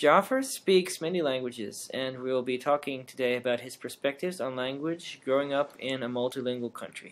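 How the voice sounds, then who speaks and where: A man talks at a moderate pace in a normal speaking voice. The recording is very clean, with a silent background. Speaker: podcast host, linguistics grad student. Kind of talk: interview. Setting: podcast recording.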